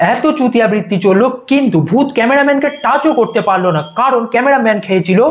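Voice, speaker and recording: This man's pitch is extremely high, with ordinary variation. His loudness stays very even. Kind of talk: comedic roast commentary. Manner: sarcastic, joking.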